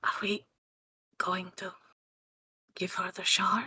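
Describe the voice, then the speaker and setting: Husky and raspy, this put-on character voice sits at a middle pitch and moves at a fairly slow pace. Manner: conspiratorial, hushed.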